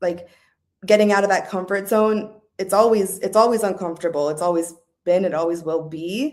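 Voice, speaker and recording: A woman with an American accent speaks at a medium pitch and a moderate pace in a plain, everyday voice. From Southern California. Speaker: podcast guest. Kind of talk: casual interview chat. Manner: casual, many fillers.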